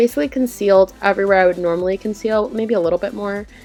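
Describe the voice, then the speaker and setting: Music plays in the background as a woman talks at a very fast pace with ordinary pitch variation. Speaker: beauty vlogger. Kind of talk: makeup tutorial voice-over. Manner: casual, chatty.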